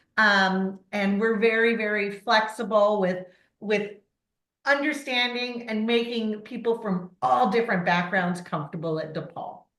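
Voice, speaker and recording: A woman with an American accent speaks at a fairly slow pace, her fairly high voice showing ordinary pitch variation amid audible room echo. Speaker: university admissions director. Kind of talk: online presentation. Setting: video call.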